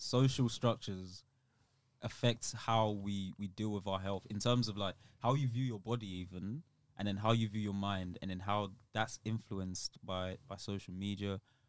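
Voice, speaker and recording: A man with a London accent speaks at a moderate pace with fairly even intonation. The recording is very clean, with a silent background. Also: fairly low pitch for a man. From London, England (born in Nigeria, moved as child). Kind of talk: casual chat.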